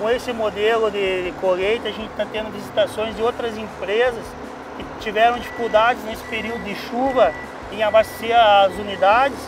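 Music plays behind a man speaking at a moderate pace in a high pitch. His intonation is flat and monotone, and the sound is dry with no echo. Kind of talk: interview answer. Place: forest.

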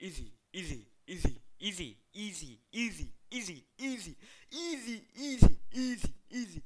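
At a moderate pace, a cartoonish character voice comes through at a fairly high pitch. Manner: taunting, cocky.

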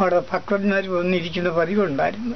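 High-pitched male speech against light background noise. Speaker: traditional teacher (aasaan). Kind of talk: storytelling talk on history.

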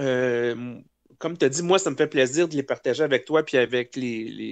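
This man talks with a Quebec accent. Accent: Québécois French. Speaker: guest on a podcast. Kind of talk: casual chat.

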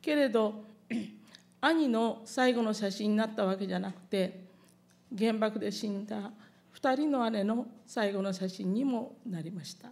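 A woman with a fairly high pitch speaks at a fairly slow pace, with long, frequent pauses. Her pitch varies in an ordinary way while her loudness swings widely. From Japan (Hiroshima); Japan. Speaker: atomic bomb survivor. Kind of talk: testimony. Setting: public event with audience. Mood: solemn, calm recollection. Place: hall. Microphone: podium.

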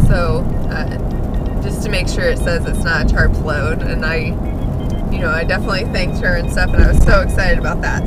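The background noise is loud. The sound is dry, with no echo. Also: woman. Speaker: truck travel vlogger. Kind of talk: casual vlog chat. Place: car.

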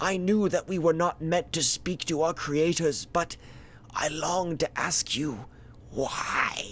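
Against clear background noise, a man puts on a high-pitched character voice at a fairly slow pace. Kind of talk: mock-epic tragic monologue. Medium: comedy sketch. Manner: grandiose, solemn, melodramatic.

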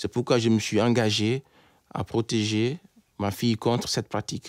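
A man talks at a fairly slow pace. The sound is dry with no echo, and the background is quiet. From Guinea, Conakry. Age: 30s. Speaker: engineer and anti-FGM campaigner. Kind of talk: testimony. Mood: serious, earnest. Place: studio.

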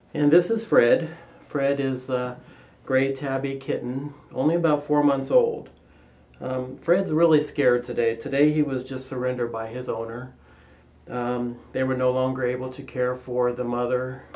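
A man speaks at a moderate pace, his intonation fairly even. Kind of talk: pet adoption presentation.

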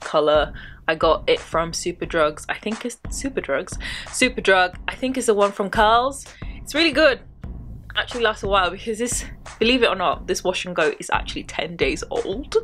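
With music in the background, a woman talks at a moderate pace, her pitch swinging very widely between long, frequent pauses. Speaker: hair care vlogger. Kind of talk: casual vlog chat. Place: home room. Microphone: phone near.

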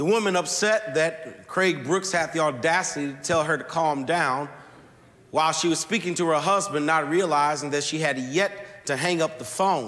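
The man's pitch moves up and down an ordinary amount. He talks at a moderate speed. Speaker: pastor. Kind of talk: sermon. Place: church. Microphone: lapel.

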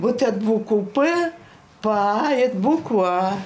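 Over light background noise, a woman speaks at a very slow pace with very wide pitch swings. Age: 80s+. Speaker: retired teacher of the deaf. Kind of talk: interview answer. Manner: lively, cheerful. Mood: cheerful, lively storytelling. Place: home room.

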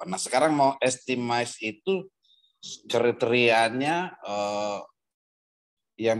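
Against a quiet background, a man talks very slowly, with ordinary pitch variation and long, frequent pauses. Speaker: participant asking questions, government official. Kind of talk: casual question and discussion. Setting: video call. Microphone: video call.

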